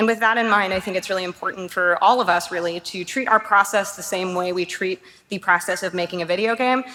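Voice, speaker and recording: The speaker talks very fast in a Canadian accent with hardly any pauses. Intonation stays fairly even over noticeable background noise. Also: woman, medium pitch for a woman. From Canada, Toronto. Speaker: game art director. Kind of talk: conference talk. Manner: casual, filler-heavy.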